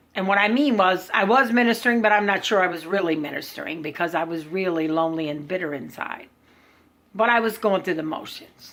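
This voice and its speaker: A woman at medium pitch, fairly quick in pace, with lively intonation. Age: 50s. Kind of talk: personal testimony. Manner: halting.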